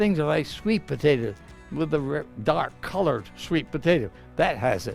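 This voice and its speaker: Over music in the background, the voice moves at a fairly slow pace with very wide pitch swings. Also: man, fairly high pitch for a man. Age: 80s+. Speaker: physician and nutrition professor. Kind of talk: interview answer.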